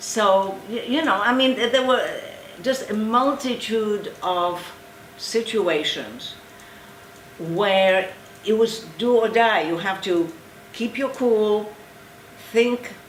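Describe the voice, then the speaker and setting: A woman at fairly high pitch and a very slow pace, with ordinary pitch variation, long, frequent pauses, noticeable background noise and audible room echo. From eastern Poland. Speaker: Holocaust survivor. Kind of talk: testimony. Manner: halting.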